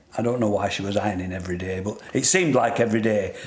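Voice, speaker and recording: Speaking with a Yorkshire accent, a man uses a fairly low pitch and ordinary pitch variation. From northern England, Sheffield. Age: 60s. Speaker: radio co-host, retired engineer. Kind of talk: casual radio interview. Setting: radio studio. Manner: halting.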